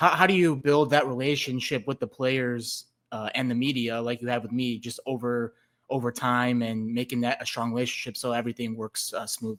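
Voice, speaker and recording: An American accent from a man with a plain, everyday voice, medium pitch, fairly even intonation and a fairly quick pace, on a very clean recording with a silent background. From Chicago area, Illinois. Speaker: podcast host and sports reporter. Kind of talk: interview.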